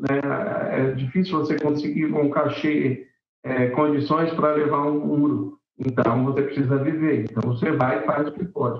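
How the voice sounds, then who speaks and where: A man with a normal speaking voice speaks at a fairly slow pace and fairly high pitch, with ordinary pitch variation and very even loudness. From Brazil, São Paulo city (Vila Carrão). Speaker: singer-songwriter and music teacher. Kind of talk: casual interview.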